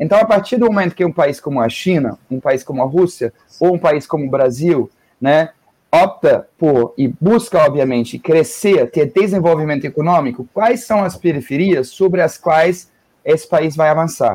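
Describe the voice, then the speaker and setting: With a German accent and lively intonation, a man talks at a fairly high pitch. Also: moderate pace. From northern Germany. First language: German (speaking Portuguese). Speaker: geography professor. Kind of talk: radio interview. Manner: halting.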